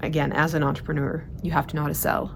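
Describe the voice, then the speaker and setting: Audible room echo surrounds a woman as she speaks. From Sweden. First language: Swedish. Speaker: organizing and productivity coach. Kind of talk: monthly vlog report. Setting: outdoors in the mountains. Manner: casual, filler-heavy.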